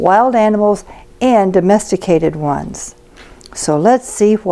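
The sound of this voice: What you hear is an unforced reading voice.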